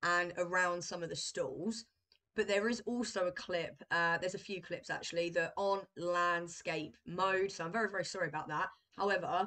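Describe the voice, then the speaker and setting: A woman at a moderate pace, fairly even intonation, and a quiet background. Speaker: travel vlogger. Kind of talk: casual vlog chat. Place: home room. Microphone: webcam.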